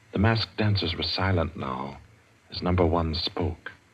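In a theatrical tone, a man with a very deep, low pitch speaks at a fairly slow pace, somewhat breathy, with ordinary pitch variation. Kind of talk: dramatic radio narration. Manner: smooth, suspenseful, measured, theatrical.

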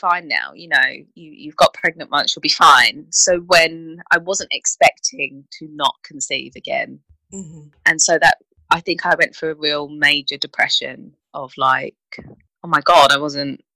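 In a dry, close recording with no echo, a woman with a British accent speaks fairly slowly, with big swings in loudness. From UK. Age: 30s. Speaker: infertility support professional. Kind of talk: interview.

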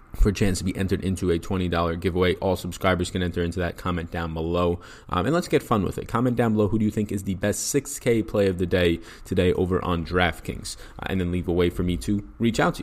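Here a man speaks at a very fast pace. His pitch is very deep and low. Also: ordinary pitch variation. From New York. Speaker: fantasy sports content creator. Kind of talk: solo DFS picks breakdown podcast. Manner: fast talker; informal, direct address.

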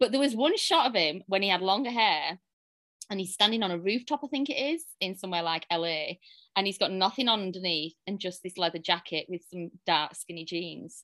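Fairly quick and lively in intonation, the voice carries a strong British accent and a bright, sharp tone, recorded dry and close with no echo. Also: woman, medium pitch for a woman. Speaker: romance author. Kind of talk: casual interview chat.

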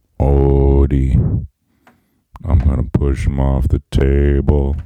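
A man speaks at a very slow pace in a put-on character voice, his very deep, low pitch held to a monotone, flat intonation.

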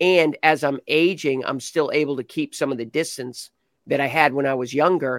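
Man with a plain, everyday voice, fairly high pitch, fairly even intonation and a moderate pace, in a very clean recording with a silent background and a dry, close sound with no echo. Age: 60s. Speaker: golf commentator. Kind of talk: casual chat.

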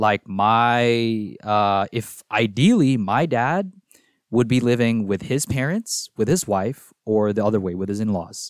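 In a very clean recording with a silent background and a dry, close sound with no echo, a man with a Filipino accent speaks at a fairly slow pace with ordinary pitch variation. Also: medium pitch for a man. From Philippines and Singapore. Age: 20s. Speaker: college student. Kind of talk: casual chat. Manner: hesitant, filler-heavy.

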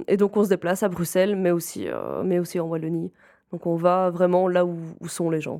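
On a very clean recording with a silent background, a woman speaks in a flat monotone with a dark, mellow tone and fairly low pitch. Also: moderate pace. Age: 20s. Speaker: game facilitator at a nonprofit. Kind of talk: interview.

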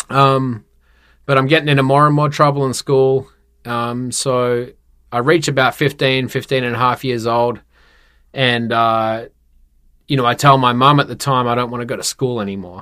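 A man with an Australian accent speaks at medium pitch and a moderate pace, his bright, sharp tone set against a very clean recording with a silent background. His intonation stays fairly even, broken by long, frequent pauses. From Perth, Western Australia. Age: 30s. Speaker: tattoo studio owner, entrepreneur. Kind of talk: casual interview chat.

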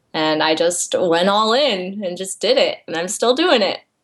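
With an American accent, a woman talks at a moderate pace in fairly low pitch. Hers is an unremarkable speaking voice. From US Midwest, Iowa. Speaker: illustrator and author. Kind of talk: casual chat.

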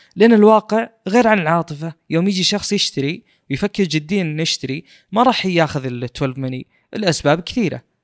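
On a very clean recording with a silent background, a man speaks at a moderate pace in a high pitch with lively intonation. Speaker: podcast host. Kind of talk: casual chat about tech news.

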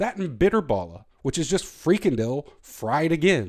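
In a Southern US accent, a man talks in an animated tone with very wide pitch swings, on a very clean recording with a silent background. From US South. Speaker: podcast host. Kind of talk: solo rant monologue.

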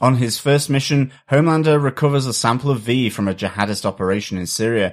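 This man has an unremarkable speaking voice, medium in pitch with ordinary variation. He talks at a fairly quick pace in a very clean recording with a silent background. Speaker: podcast host. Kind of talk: casual podcast chat reviewing a TV episode.

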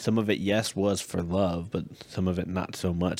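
This very clean recording has a silent background and a man with an American accent. His very deep, low voice keeps a fairly quick pace with monotone, flat intonation. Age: 30s. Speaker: podcast co-host, military husband. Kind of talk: casual chat.

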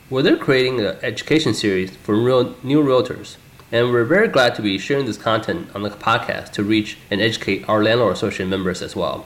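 A man with a medium pitch and ordinary pitch variation moves at a fairly quick pace, noticeable background noise present. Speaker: podcast host. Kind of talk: podcast intro and interview.

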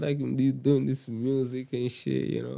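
Speaking at a fairly slow pace with a Rwandan accent, a man has a dark, mellow tone and a medium pitch. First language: Kinyarwanda. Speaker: rapper. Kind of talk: casual chat.

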